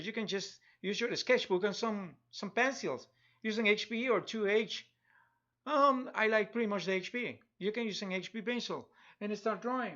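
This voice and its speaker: At a fairly quick pace, a man talks with a high pitch and ordinary pitch variation. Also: quiet background. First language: Spanish. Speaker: digital artist. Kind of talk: live drawing tutorial stream. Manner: halting, many repetitions; casual, chatty. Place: home room.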